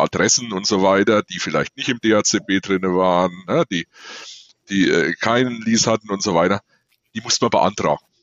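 Using an ordinary speaking voice, a man keeps a moderate pace and shows ordinary pitch variation. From eastern Germany (former GDR). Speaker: maintenance manager. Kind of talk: casual chat.

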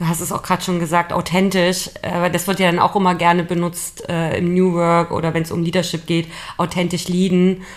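At a fairly quick pace, a woman talks in a fairly low voice with monotone, flat intonation. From Leipzig, Saxony, Germany. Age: 30s. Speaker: podcast co-host, team leader. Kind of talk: casual chat.

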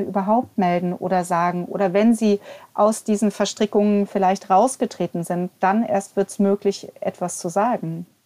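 At a moderate pace, a woman speaks in a medium pitch with a dark, mellow tone and fairly even intonation, the sound dry and close with no echo. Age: 40s. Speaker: church inclusion officer and abuse survivor representative. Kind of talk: casual chat. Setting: remote recording.

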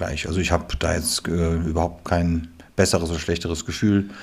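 In a monotone, flat intonation, a man talks at a moderate pace. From western Germany. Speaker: theatre director. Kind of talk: casual interview.

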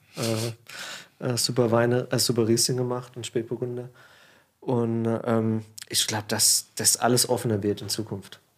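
The man's pitch is medium, with monotone, flat intonation. He talks at a fairly slow pace, with long, frequent pauses. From Germany, Palatinate (Pfalz). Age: 30s. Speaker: winemaker. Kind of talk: casual chat. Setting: studio.

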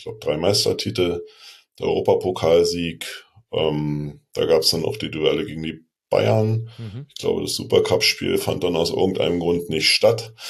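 A moderate pace with big swings in loudness. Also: man. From Berlin. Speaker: football fan. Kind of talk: casual chat.

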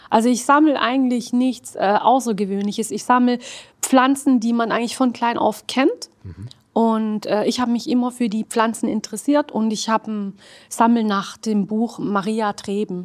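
A woman with an Arabic accent speaks at a fairly high pitch with fairly even intonation. Her pace is moderate, and the recording is very clean with a silent background. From Swabia, Germany (Hildrizhausen). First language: Arabic (speaking German). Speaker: costume tailor and esotericist. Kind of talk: casual interview.

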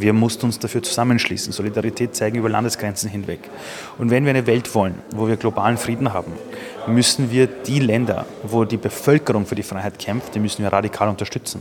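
Very fast speech from a man at medium pitch, his intonation fairly even. Background noise is noticeable. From Austria. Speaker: entrepreneur. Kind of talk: interview. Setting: press conference sidelines.

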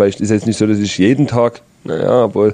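A normal speaking voice from a man, fairly low in pitch, fairly even in intonation and at a fairly quick pace. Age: 30s. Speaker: professional footballer, team captain. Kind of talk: casual interview. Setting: club training facility.

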